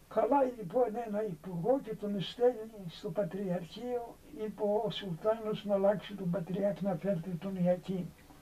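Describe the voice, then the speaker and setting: Over noticeable background noise, a man talks fairly slowly in a high pitch with fairly even intonation. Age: 80s+. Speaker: elderly monk. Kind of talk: storytelling.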